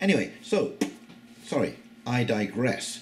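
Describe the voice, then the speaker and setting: A man's voice with very wide pitch swings, music in the background, and audible room echo. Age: 60s. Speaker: YouTube commentator. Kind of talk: casual monologue. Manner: hesitant, many fillers.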